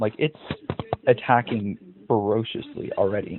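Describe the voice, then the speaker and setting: Speaking at a moderate pace with lively intonation, a man comes through over noticeable background noise. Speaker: chess content creator. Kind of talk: casual game commentary. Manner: casual, self-deprecating chatter.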